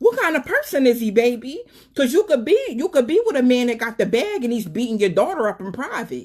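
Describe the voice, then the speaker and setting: At a fairly quick pace, a woman speaks in an animated tone with a high pitch and very wide pitch swings. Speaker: live stream talk show host. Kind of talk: live stream monologue with call-ins. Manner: fast.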